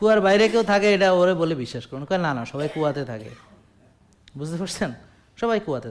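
A man speaks with a fairly high pitch and an animated tone. His pitch swings very widely, and his loudness rises and falls a lot. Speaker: doctor giving health advice. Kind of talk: health talk to audience with patients present.

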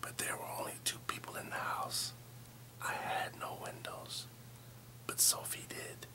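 Whispering from a man at a fairly slow pace. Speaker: storyteller. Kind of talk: scary story narration. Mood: tense, spooky storytelling. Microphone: phone near.

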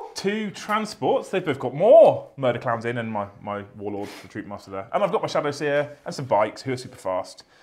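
A man with a British accent talks at a fairly quick pace with hardly any pauses. His fairly high pitch makes very wide swings. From UK. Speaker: tabletop wargaming YouTuber. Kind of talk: casual banter during a tabletop game. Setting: studio. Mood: relaxed, jokey banter. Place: studio.

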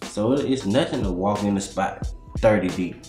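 A man speaks at a fairly low pitch with audible room echo. Clear music plays in the background. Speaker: interviewee. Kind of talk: interview answer. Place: home room.

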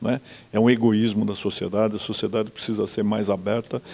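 The tone is dark and mellow, and the intonation is monotone and flat. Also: man. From Brazil, Jundiaí (São Paulo state); São Paulo state, Brazil. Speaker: judge, court president; interviewee. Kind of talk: interview. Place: office. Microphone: handheld.

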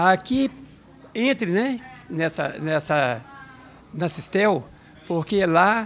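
The intonation is lively. Light background noise can be heard. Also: man. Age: 60s. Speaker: retired telecom worker, accordion player. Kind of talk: interview testimony. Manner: halting, with repeated filler words. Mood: content, warm. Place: home room. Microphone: handheld.

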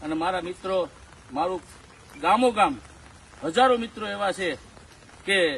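Noticeable background noise sits behind this speaker. He is a man with a high pitch and ordinary pitch variation. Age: 60s. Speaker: tree planter and farm owner. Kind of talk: public appeal on video.

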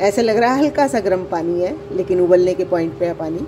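Clear background noise sits behind a woman speaking at a moderate pace with ordinary pitch variation.

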